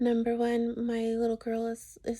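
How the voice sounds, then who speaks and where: A woman speaks softly at a very slow pace. Her pitch is fairly high. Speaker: religious vlogger. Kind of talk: personal video monologue. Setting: bedroom at home. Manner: soft-spoken; halting.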